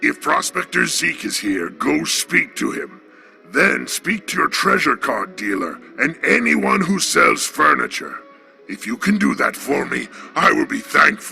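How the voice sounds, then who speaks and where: A man performs a put-on character voice at a moderate pace. Music is clearly heard in the background. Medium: solo performance. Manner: formal, old-fashioned.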